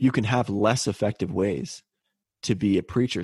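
In a Canadian accent, a man speaks at a moderate pace with a fairly low pitch, an ordinary speaking voice and ordinary pitch variation. The sound is dry and close with no echo, against a quiet background. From Canada (British Columbia). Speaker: podcast co-host. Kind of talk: casual chat.

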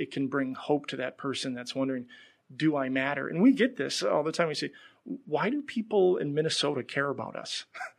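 With a quiet background, a man talks at a moderate pace. His pitch is fairly high. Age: 40s. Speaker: nonprofit donor engagement staff. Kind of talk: interview. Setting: studio. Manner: halting, frequent repetitions.

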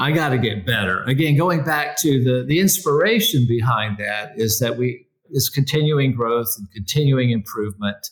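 At a moderate pace, a man talks with lively intonation and a somewhat breathy voice. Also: medium pitch for a man. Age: 60s. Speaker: executive coach and company founder. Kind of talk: casual interview conversation.

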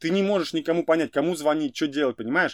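The man's fairly high voice comes through with a dry, close sound and no echo. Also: very clean recording, silent background. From Russia, Ufa. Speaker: entrepreneur, event organizer. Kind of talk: interview. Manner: animated.

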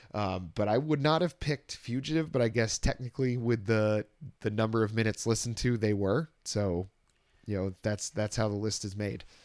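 This man has a normal speaking voice. It sits fairly low and varies in pitch in an ordinary way. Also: very clean recording, silent background. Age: 30s. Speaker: podcast host. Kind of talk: casual chat.

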